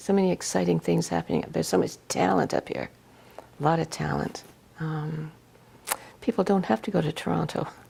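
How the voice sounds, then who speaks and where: In a Canadian accent, a woman with a very deep, low pitch and vocal fry speaks at a moderate pace with very wide pitch swings. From Ontario, Canada. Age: 70s. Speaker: magazine founder and publisher. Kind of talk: interview. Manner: hesitant, many fillers and restarts.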